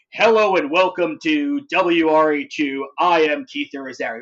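The voice is a put-on character voice pitched in the middle range. Its delivery comes at a fairly slow pace. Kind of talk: formal broadcast announcer speech.

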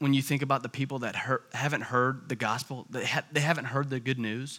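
In a very clean recording with a silent background, a man with an American accent talks fairly quickly in a fairly high pitch. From US South (Tallahassee, Florida). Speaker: church family ministries director. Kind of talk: sermon.

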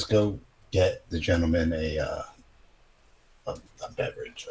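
In a put-on character voice, a man growls in a robotic way at a fairly slow pace.

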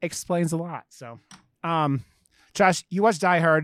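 A man's high-pitched voice, in an American accent, has a dry, close sound with no echo. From Ohio, US. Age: 40s. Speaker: horror podcast co-host. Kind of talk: casual chat.

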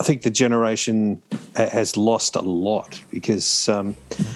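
A man with an Australian accent speaks at a very slow pace, his pitch medium with ordinary variation, over a quiet background. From Australia, New South Wales south coast. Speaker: podcast panelist. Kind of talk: casual chat.

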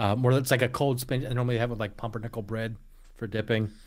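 Delivered at a very fast pace, this American accent is heard on a very clean recording with a silent background. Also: man. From Eastern Pennsylvania, Lehigh Valley (Allentown). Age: 40s. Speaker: podcast host. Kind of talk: casual chat.

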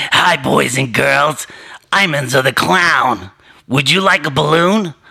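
Putting on a character voice in a New York accent, a man speaks with a raspy, fairly high pitch. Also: fairly slow pace. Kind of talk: mock-friendly children's entertainer. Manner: sinister, menacing, sweetly eerie.

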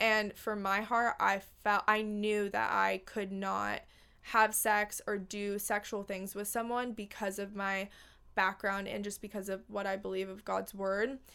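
In a bright, sharp tone, a woman speaks at medium pitch and a fairly slow pace with monotone, flat intonation on a very clean recording with a silent background. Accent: American. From Los Angeles, California. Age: 20s. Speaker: podcast host. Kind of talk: casual chat.

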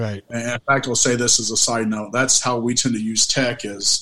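A man's plain, everyday voice at a medium pitch, with an American accent, fairly even intonation and a moderate pace. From Oklahoma. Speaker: paranormal investigator and medium. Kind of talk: casual interview chat.

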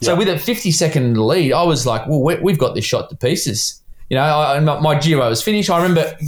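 Somewhat breathy and fairly high-pitched, a man with an Australian accent talks at a very fast pace. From Australia, Sydney. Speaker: cycling sporting director. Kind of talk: casual interview. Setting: remote call from bedroom.

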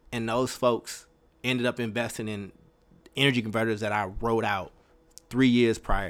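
A man talks in an animated tone at a medium pitch. His pace is moderate, broken by long, frequent pauses. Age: 30s. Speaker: podcast host. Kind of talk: personal storytelling monologue. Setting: live stream.

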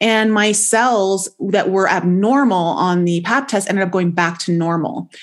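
A plain, everyday voice with a Canadian accent, ordinary pitch variation and very even loudness, at a fairly slow pace with hardly any pauses. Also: woman, medium pitch for a woman. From Canada, Toronto. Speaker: intuitive life coach. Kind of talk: interview testimony.

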